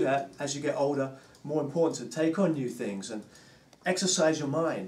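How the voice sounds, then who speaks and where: At a fairly quick pace, a man with a fairly high pitch is heard with audible room echo and noticeable background noise. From England, London. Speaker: drummer and drum teacher. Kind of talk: casual interview chat.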